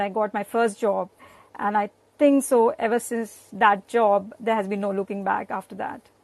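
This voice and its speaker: Speaking at a moderate pace with an Indian accent, a woman holds a monotone, flat intonation at a fairly high pitch, her voice dry and close with no echo against a quiet background. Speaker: guest, spouse of a host. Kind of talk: casual chat.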